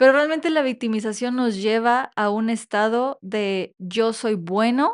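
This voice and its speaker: Over a quiet background, a woman speaks in a normal speaking voice at a fairly slow pace, her pitch fairly high with ordinary variation. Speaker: podcast co-host. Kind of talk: casual chat.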